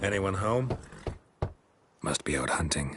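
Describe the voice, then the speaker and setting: Using a put-on character voice, a man talks at a fairly slow pace with a very deep, low pitch. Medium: short film. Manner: terse, clipped.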